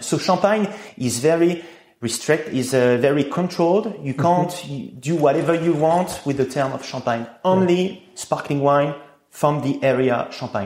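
At a moderate pace, a man with a French accent speaks at a fairly high pitch with ordinary pitch variation. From France, Reims. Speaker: champagne producer. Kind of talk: interview.

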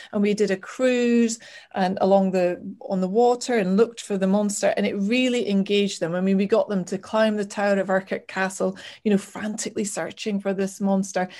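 In a northeast Scottish accent, a woman talks at a fairly quick pace and medium pitch. Her tone is dark and mellow, her intonation monotone and flat. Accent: Scottish (north-east). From Scotland, Aberdeen. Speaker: travel blogger. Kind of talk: casual chat.

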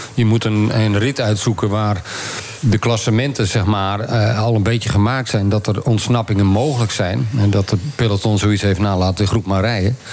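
A man talks at a moderate pace with a fairly low pitch and very even loudness. Noticeable background noise is present. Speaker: former pro cyclist. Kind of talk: casual chat.

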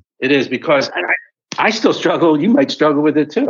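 A man's fairly high voice with vocal fry and an American accent. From Philadelphia, US. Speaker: author. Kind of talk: interview testimony.

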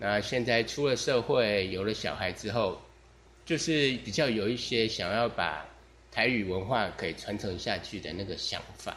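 A man speaks at a fairly slow pace, his fairly low pitch moving with ordinary variation, with audible room echo around him. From Taiwan. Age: 40s. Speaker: podcaster. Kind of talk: casual monologue. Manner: relaxed.

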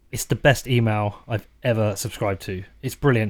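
Here a man speaks with a British accent at a moderate pace. The recording is very clean, with a silent background. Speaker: podcast host. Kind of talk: interview. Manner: halting, repeats words.

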